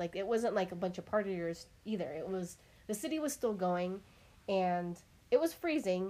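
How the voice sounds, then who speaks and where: A woman uses an ordinary speaking voice. Her pitch is medium and her pace moderate. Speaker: podcast host. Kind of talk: casual chat.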